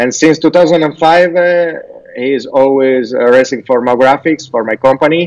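With an Italian accent, a man speaks at a fairly high pitch. His pitch varies in an ordinary way. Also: moderate pace. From Italy, Turin. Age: old. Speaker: race director and graphic designer. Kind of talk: casual interview. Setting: remote call. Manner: halting.

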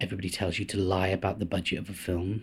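The voice belongs to a man and is somewhat breathy. He talks at a fairly quick pace. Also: very clean recording, silent background. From North Wales (Anglesey). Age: 40s. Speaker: actor, producer and film director. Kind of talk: casual interview.

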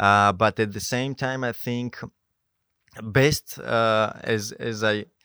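The recording is dry and close, with no echo. A man speaks very slowly at a medium pitch with fairly even intonation. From Georgia (country). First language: Georgian. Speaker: mountain guide. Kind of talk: interview. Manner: halting.

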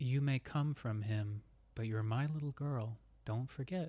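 A man puts on a character voice, pitched medium and delivered at a moderate pace. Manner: creepy, ominous.

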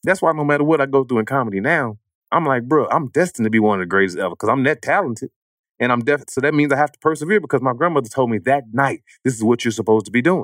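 A man talks at a very fast pace and a medium pitch, with an animated tone and lively intonation. The sound is dry and close, with no echo. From East St. Louis, Illinois. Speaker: comedian. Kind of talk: casual chat.

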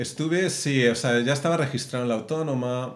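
A man speaks at a fairly slow pace and medium pitch with ordinary pitch variation, and audible room echo surrounds his voice. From Madrid, Spain. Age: 40s. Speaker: film animator and director. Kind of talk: interview.

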